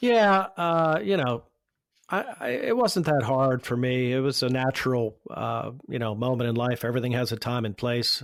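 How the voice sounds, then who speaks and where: A man speaks in a plain, everyday voice at a moderate pace, medium in pitch with ordinary pitch variation. The recording is very clean, with a silent background. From Pittsburgh, Pennsylvania. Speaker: marketing agency founder. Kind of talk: podcast interview answer.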